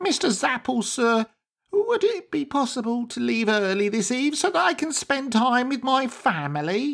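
A man puts on a character voice at an extremely high pitch, swinging very widely in pitch at a moderate pace in a very clean recording with a silent background. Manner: meek, earnest, pleading.

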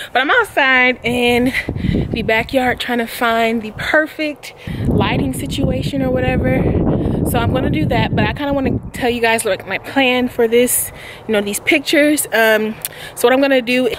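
A woman speaks in a high voice with ordinary pitch variation. The sound is dry with no echo, and there is noticeable background noise. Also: moderate pace. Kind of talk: casual vlog chat. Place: garden. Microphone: phone near.

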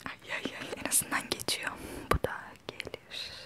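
A woman is whispering in a relaxed tone. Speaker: ASMR vlogger. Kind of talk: casual talk to camera. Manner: soft-spoken, relaxed. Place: home room. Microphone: lapel.

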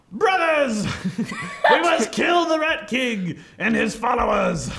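In a put-on character voice, a man speaks very slowly at an extremely high pitch. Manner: indignant, commanding.

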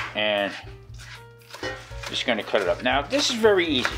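Clear music sits in the background while the speaker talks at a moderate pace. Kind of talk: cooking tutorial chat. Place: kitchen.

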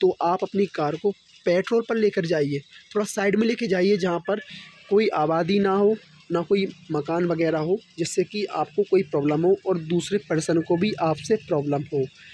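A man's high-pitched voice with a slightly husky edge and slightly mellow tone, moderate pace, ordinary pitch variation and few pauses

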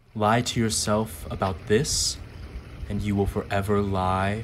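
In a solemn, intense tone, a man speaks fairly slowly with a fairly low, somewhat breathy voice and ordinary pitch variation. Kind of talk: poem reading. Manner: slow, measured, deliberate delivery; solemn, intense, emotionally weighty.

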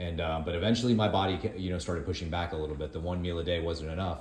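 A man's very deep, low voice at a very fast pace, fairly even intonation, audible room echo. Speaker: co-host filming the video. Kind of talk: casual vlog chat. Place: kitchen.

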